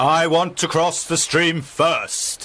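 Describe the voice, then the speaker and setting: A man's high-pitched, put-on character voice. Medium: read story.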